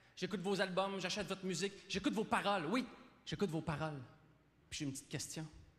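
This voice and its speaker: With long, frequent pauses, a high-pitched man talks very fast, his pitch varying in an ordinary way. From Quebec. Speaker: comedian. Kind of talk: stand-up monologue as awards show host. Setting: live stage, audience.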